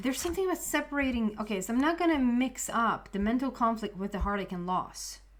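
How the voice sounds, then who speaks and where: With a Swedish accent, a woman talks at a very fast pace with hardly any pauses. Her fairly high voice has lively intonation. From Sweden. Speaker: tarot reader. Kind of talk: tarot reading to camera. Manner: halting.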